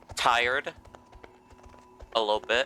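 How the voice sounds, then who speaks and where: Music plays behind a man speaking at a fairly slow pace. The sound is dry and close with no echo. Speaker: game streamer. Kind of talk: casual chat. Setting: live stream. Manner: halting.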